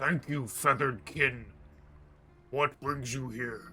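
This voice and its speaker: At a fairly slow pace, a man speaks in a put-on character voice. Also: medium pitch for a man. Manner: formal, measured.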